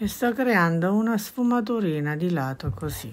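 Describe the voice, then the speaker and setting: With lively intonation, a woman speaks at a fairly slow pace. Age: 60s. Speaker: embroidery craftswoman; embroidery teacher. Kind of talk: tutorial. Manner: chatty, informal. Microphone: phone near.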